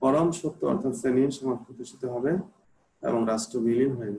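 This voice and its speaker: Male speech, somewhat breathy, its pitch varying in an ordinary way. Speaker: political science teacher. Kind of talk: lecture. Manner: hesitant, many fillers.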